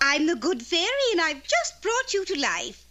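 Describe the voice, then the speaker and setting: A cartoonish character voice, female-sounding, with an extremely high pitch. It swings very widely in pitch at a moderate pace. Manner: sugary, lilting.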